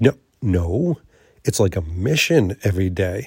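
A man's voice sounds somewhat breathy. His pitch swings very widely. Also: dry, close sound with no echo. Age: 50s. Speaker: podcast host. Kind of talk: solo vlog monologue.

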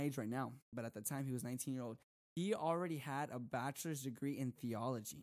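An unremarkable speaking voice from a man, pitched fairly high with ordinary pitch variation. He talks at a moderate pace on a very clean recording with a silent background. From Texas. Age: 20s. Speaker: youth preacher. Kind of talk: casual chat.

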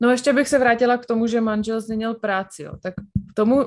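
A woman talks at a fairly quick pace. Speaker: podcast co-host. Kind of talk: casual chat.

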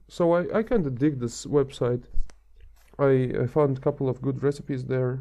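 With a non-native accent, a man speaks at a moderate pace. His medium pitch shows ordinary variation. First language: not English. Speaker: transport planner. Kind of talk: casual chat.

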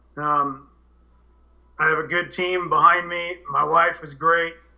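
A man talks at a moderate pace. His voice is high-pitched, with a bright, sharp tone. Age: 50s. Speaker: cannabis grower and soil business owner. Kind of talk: casual interview. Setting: Skype call.

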